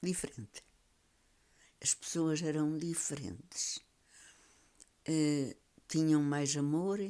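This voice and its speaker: A woman with a European Portuguese accent speaks at a very slow pace in a very deep, low voice with a dark, mellow tone, leaving long, frequent pauses. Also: ordinary pitch variation. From Portugal, Beira Alta (Trancoso). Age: 90s. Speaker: elderly storyteller. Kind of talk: reminiscing interview.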